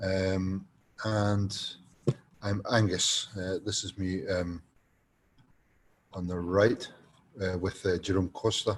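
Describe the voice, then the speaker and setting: At a very slow pace with long, frequent pauses, a man with a Scottish accent speaks in a very deep, low, somewhat breathy voice and a monotone, flat intonation. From Scotland. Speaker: design lecturer. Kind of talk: online course presentation. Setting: online presentation. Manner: hesitant, many fillers.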